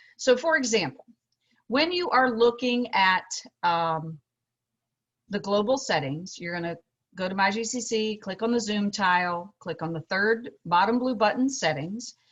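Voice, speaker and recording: At a moderate pace, a woman speaks in a plain, everyday voice at a medium pitch with lively intonation. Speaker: instructional technology trainer. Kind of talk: tutorial.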